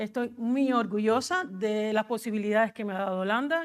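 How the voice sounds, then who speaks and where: The speaker has a Cuban accent, heard on a very clean recording with a silent background. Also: woman. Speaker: agricultural advisory coordinator. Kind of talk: conference presentation. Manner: fast.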